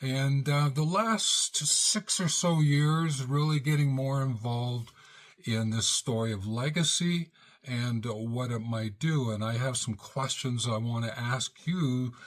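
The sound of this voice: A man at a slow pace and medium pitch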